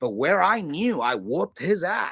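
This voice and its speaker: On a very clean recording with a silent background, a man speaks in an animated tone at a moderate pace. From Chicago, US Midwest. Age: 30s. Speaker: crypto trading streamer. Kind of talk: casual market analysis livestream.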